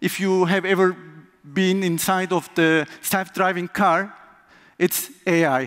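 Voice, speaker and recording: Speaking very slowly with a Turkish accent, a man keeps a high pitch, fairly even intonation and very even loudness. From Turkey. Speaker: conference speaker, software tester. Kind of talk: conference talk.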